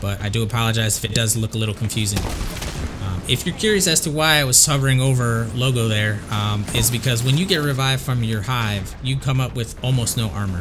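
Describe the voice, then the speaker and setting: Music plays behind a man who talks at a fairly quick pace. His pitch is medium, with ordinary variation. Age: 40s. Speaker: gamer. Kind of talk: game walkthrough commentary. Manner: casual, hesitant with fillers.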